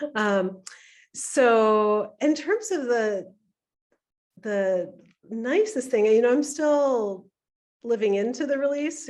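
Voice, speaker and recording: Against a quiet background, the speaker moves at a very slow pace with lively intonation. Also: woman. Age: old. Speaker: author. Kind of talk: panel discussion. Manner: halting.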